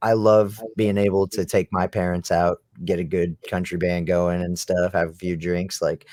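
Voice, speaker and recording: In a very clean recording with a silent background and a dry, close sound with no echo, a man with an American accent speaks at a moderate pace in a very deep, low, monotone voice with flat intonation. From US Midwest, central Illinois. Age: 20s. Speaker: rock band musician. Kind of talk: casual interview chat.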